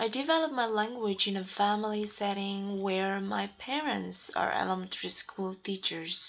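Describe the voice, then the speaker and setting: A woman with an Indonesian accent speaks at a medium pitch with ordinary pitch variation. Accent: Indonesian (Javanese) accent in English. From Indonesia (Central Java). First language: Javanese. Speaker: graduate student. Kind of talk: scripted narration.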